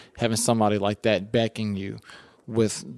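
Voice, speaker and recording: In a very clean recording with a silent background and a dry, close sound with no echo, a man with an American accent speaks at a fairly low pitch in a monotone, flat way. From US, West Philadelphia. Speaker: real estate agent. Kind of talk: casual interview. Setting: office.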